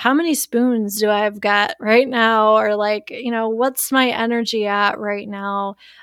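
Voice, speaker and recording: A woman with an American accent has an ordinary speaking voice and a fairly high pitch. She talks at a fairly slow pace. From US Midwest, Wisconsin. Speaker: shadow work practitioner. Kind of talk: casual chat.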